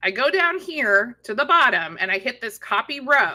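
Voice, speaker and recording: A woman's raised, projected voice, high-pitched with a bright, sharp tone, very wide pitch swings and a moderate pace. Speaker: e-commerce software trainer. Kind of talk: live stream tutorial. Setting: live stream.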